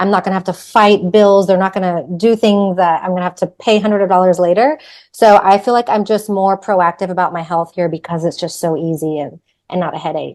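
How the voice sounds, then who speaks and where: Against a quiet background, a woman with an American accent talks at a fairly quick pace and medium pitch. She has an ordinary speaking voice with fairly even intonation. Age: 40s. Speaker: expat living in Spain. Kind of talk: panel discussion.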